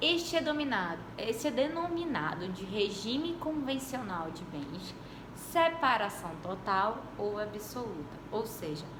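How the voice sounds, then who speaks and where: Amid noticeable background noise and audible room echo, a woman speaks fairly slowly at a fairly high pitch, her voice swinging very widely. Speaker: law professor. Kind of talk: lecture.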